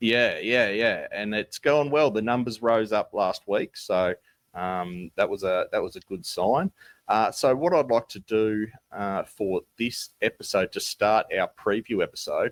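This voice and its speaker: The background is silent and the recording very clean. A man talks fairly slowly. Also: dry, close sound with no echo. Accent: Tasmanian. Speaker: basketball podcast co-host. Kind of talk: casual podcast chat. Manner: hesitant, many fillers.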